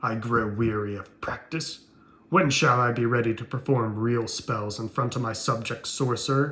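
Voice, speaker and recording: Putting on a character voice, a man speaks at a moderate pace and medium pitch with fairly even intonation. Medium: read story. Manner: imperious.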